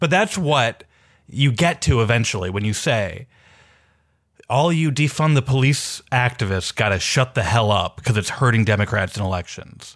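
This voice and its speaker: A man with an American accent speaks at a moderate pace, with lively intonation and a medium pitch, in an ordinary speaking voice. The recording is very clean, with a silent background. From Minneapolis, US Midwest. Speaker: journalist and newsletter writer. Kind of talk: casual political discussion.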